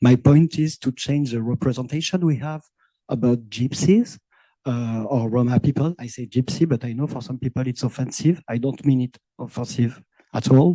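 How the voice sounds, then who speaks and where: A man speaks with a French accent in a dark, mellow tone at a medium pitch. His pitch varies in an ordinary way, and his pace is moderate. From France, Manouche Sinti community. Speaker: visual and performance artist. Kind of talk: roundtable discussion. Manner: halting.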